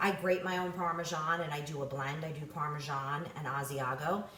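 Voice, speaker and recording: A woman with an American accent talks with ordinary pitch variation. Noticeable background noise and audible room echo fill the recording. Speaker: home cook, cooking video host. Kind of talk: casual cooking tutorial. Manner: animated, enthusiastic.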